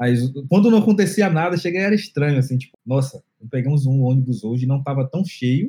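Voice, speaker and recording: The voice has a dark, mellow tone and is somewhat breathy. Delivery moves at a fairly quick pace. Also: man. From Bahia, Brazil (Salvador metro area). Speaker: tech lead / designer. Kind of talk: casual chat. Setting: remote call.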